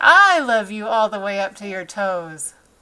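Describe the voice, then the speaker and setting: A woman performs a put-on character voice. Her pitch is medium and her pace moderate. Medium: read story. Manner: warm, gentle.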